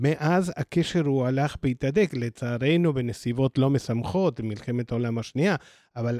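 A man with an Argentine accent speaks at a very slow pace, using a medium pitch, ordinary pitch variation and a dark, mellow tone. The recording is very clean with a silent background and a dry, close sound with no echo. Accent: Argentine Spanish accent in Hebrew. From Argentina. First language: Spanish (speaking Hebrew). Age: 60s. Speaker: nonprofit program director. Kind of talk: interview.

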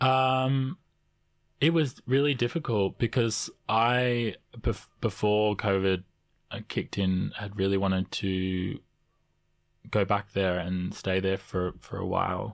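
A man with an Australian accent, fairly low-pitched, at a very slow pace with long, frequent pauses, on a very clean recording with a silent background. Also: ordinary pitch variation. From Canberra, Australia (also Samoa). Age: 20s. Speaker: multidisciplinary artist and actor. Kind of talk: interview. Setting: studio.

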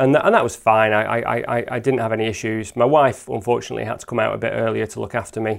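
This man talks at a very fast pace at medium pitch, with vocal fry and monotone, flat intonation. The recording is very clean, with a silent background. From Lake District, northern England. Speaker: landscape photographer. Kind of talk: interview. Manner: halting, many repetitions.

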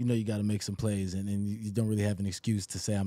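A man's dark, mellow tone on a very clean recording, silent background. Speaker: football running back. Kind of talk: radio interview. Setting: radio studio.

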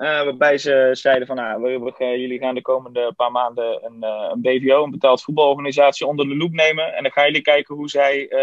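Fairly even intonation at a moderate pace from a man pitched fairly high. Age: 20s. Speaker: student. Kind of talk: interview. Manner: halting, many fillers.

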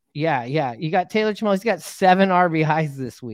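An American accent against a quiet background. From Seattle, US Pacific Northwest. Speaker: sports podcast host. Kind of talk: casual sports chat.

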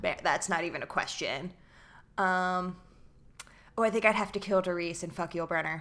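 A woman's bright, sharp voice at medium pitch with an American accent, fairly even intonation, a moderate pace and long, frequent pauses, on a very clean recording with a silent background. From New Jersey, near Atlantic City. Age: 20s. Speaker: comedian. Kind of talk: casual chat.

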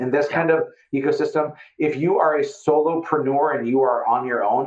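A man talks with an Upper Midwest US accent. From Fargo, North Dakota. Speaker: real estate investor and business owner.

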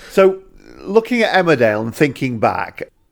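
In a Yorkshire accent, a man talks with very wide pitch swings on a very clean recording against a silent background. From northern England. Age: 40s. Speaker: podcast interviewer. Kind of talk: interview.

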